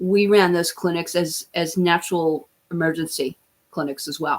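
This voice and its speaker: Over a very clean recording with a silent background, a woman with a plain, everyday voice speaks at a fairly low pitch with fairly even intonation. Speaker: livestream host and natural health practitioner. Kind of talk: casual livestream talk.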